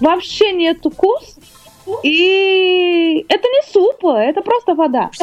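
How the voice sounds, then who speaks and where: Very slow speech in a Portuguese accent, with very wide pitch swings, very even loudness and music in the background. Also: woman, extremely high pitch for a woman. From Brazil, Rio de Janeiro. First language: Portuguese (speaking Russian). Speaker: singer. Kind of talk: interview. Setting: studio. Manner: halting.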